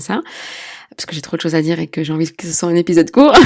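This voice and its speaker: A woman talks with a very deep, low pitch. Her voice has vocal fry. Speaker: midwife and sex therapist podcast host. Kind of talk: solo podcast talk.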